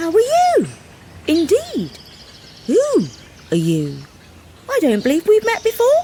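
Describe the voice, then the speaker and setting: A woman puts on a character voice pitched extremely high. She talks fairly slowly, with long, frequent pauses. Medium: read story.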